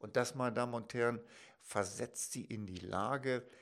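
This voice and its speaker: On a very clean recording with a silent background, a man speaks at a medium pitch and a fairly slow pace. He has an ordinary speaking voice with fairly even intonation. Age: 50s. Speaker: financial advisor. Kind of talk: educational talk to camera. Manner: formal.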